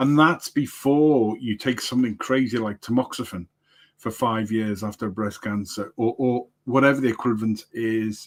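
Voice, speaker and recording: The speaker is a man with an English accent. He keeps to a moderate pace. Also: medium pitch for a man, very clean recording, silent background. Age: 60s. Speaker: livestream producer and coach. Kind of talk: casual chat. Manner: halting, many repetitions.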